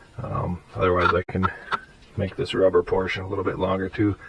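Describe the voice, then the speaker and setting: A fairly quick delivery against noticeable background noise. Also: man. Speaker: car hobbyist. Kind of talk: casual talk to camera. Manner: casual, hesitant.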